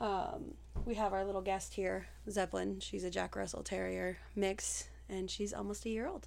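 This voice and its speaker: Speaking at a moderate pace in an American accent, a woman is heard with audible room echo. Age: 30s. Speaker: podcast co-host. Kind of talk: casual chat.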